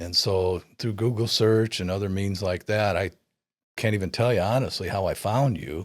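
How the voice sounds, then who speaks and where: Here a man with an ordinary speaking voice talks at a moderate pace, with a fairly low pitch and fairly even intonation. It is a very clean recording with a silent background. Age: 60s. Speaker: client of a retirement planner. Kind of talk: testimonial interview.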